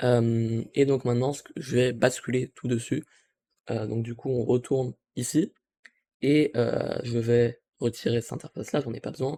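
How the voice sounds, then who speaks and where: In a dry, close recording with no echo, a man with a medium pitch and a dark, mellow tone speaks at a fairly slow pace with fairly even intonation and long, frequent pauses. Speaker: tech youtuber. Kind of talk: tutorial. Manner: hesitant, many fillers.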